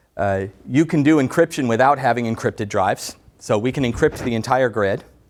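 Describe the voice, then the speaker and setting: In a very clean recording with a silent background, an ordinary speaking voice moves at a moderate pace with ordinary pitch variation. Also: man. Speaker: tech company director presenting product. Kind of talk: technical product presentation. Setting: presentation room with audience.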